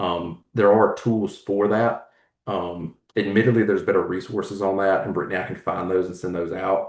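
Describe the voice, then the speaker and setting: Against a quiet background, a man with a Southern US accent speaks at a fairly low pitch with fairly even intonation. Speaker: agricultural economist. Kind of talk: webinar presentation. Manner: fast.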